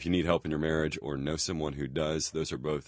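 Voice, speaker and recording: Against a quiet background, a man with vocal fry and a very deep, low pitch speaks at a fairly quick pace. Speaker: podcast host. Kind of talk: casual interview. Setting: studio. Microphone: studio quality recording.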